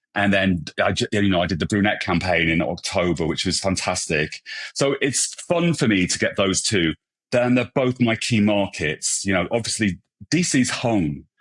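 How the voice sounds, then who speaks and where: Speaking with a British accent at a moderate pace, a man uses a fairly low pitch and lively intonation at very even loudness. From England. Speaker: hairstylist and brand ambassador. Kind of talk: podcast interview.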